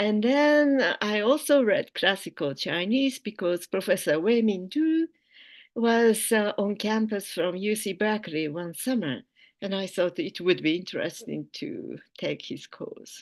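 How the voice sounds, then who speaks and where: A woman's fairly high voice with very wide pitch swings and a Japanese accent, fairly slow, over a quiet background. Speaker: philosophy professor. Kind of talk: keynote lecture.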